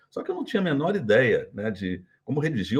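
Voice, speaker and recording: At a fairly quick pace, a man with a medium pitch and a somewhat breathy voice makes very wide pitch swings. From Brazil, Minas Gerais. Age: 60s. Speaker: retired business executive. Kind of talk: interview.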